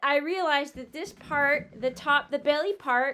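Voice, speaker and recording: A woman speaks in a raised, projected voice with a bright, sharp tone and ordinary pitch variation. Her pace is moderate, and the recording is very clean with a silent background. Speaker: sewing vlogger. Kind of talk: casual chat. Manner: slurred words.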